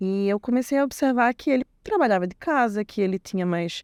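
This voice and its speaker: A woman speaks in a northeastern Brazilian accent at a moderate pace, with ordinary pitch variation. The sound is dry and close, with no echo. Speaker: IT technician, former program student. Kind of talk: interview testimony.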